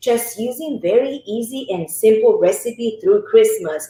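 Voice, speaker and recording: This woman's voice sits high. Her pitch swings very widely. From northern Italy, between Lake Como and Milan. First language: Italian. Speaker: cooking instructor. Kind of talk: cooking tutorial.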